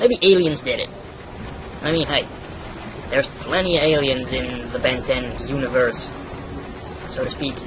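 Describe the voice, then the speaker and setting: Noticeable background noise is present throughout. Over it, the man's voice is pitched fairly high. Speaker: gaming youtuber. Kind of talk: let's play commentary. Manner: casual.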